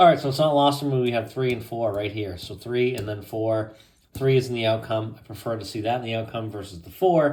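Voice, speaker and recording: In a room with audible echo, a somewhat breathy man at medium pitch talks at a fairly quick pace, with ordinary pitch variation and big swings in loudness. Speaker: tarot reader. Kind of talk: tarot reading. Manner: casual, conversational.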